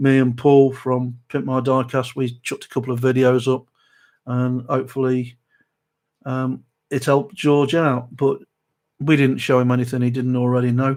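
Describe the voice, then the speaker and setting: In a South Derbyshire accent, a man speaks at a moderate pace and medium pitch with monotone, flat intonation. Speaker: model restoration youtuber. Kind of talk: live stream chat. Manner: hesitant, many fillers.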